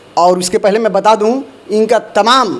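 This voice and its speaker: A man's high-pitched voice with ordinary pitch variation, over noticeable background noise. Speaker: news channel reporter. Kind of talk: interview questions to camera.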